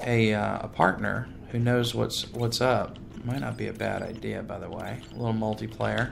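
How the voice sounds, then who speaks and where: Audible room echo is present. A man talks at a fairly slow pace and medium pitch. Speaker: gaming video creator. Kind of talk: let's play gameplay commentary. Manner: animated.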